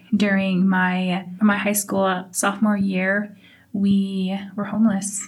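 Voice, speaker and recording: A woman talks at a very slow pace in a medium pitch, her intonation monotone and flat and her voice somewhat breathy. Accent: American. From Navajo, US Southwest. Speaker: oral history interviewee. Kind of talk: personal testimony.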